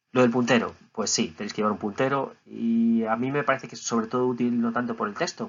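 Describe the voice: A man speaks at a fast pace with medium pitch. His voice has a slightly husky edge and fairly even intonation.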